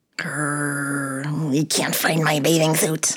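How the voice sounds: Putting on a character voice, a woman speaks slowly in a low pitch with a slightly husky edge and little pitch movement.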